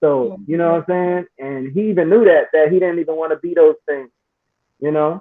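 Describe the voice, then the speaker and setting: A man with a plain, everyday voice speaks fairly high in pitch, with ordinary pitch variation and a moderate pace. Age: 40s. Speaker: online talk show host. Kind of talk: casual panel discussion.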